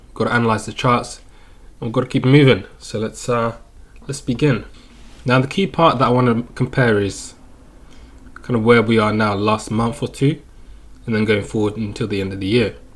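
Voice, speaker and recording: A man with a medium pitch speaks in a somewhat breathy voice with fairly even intonation and long, frequent pauses. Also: moderate pace. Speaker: crypto chart analyst youtuber. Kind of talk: market analysis commentary. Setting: home recording, webcam off. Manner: casual.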